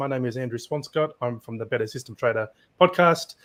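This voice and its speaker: A man with an Australian accent speaks at a fairly quick pace in a very clean recording with a silent background. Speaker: podcast host, algorithmic trader. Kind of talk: panel discussion.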